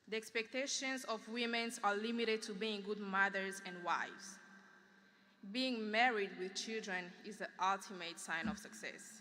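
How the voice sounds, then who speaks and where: With a fairly high pitch, a woman speaks at a moderate pace. Her tone is bright and sharp, and her intonation fairly even. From Democratic Republic of Congo. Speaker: graduating student speaker. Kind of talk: commencement speech. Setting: graduation ceremony in field house with audience.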